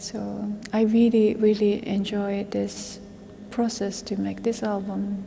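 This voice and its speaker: Through noticeable background noise, a woman with a Japanese accent speaks at a very slow pace. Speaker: vocal musician. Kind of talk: interview. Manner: halting.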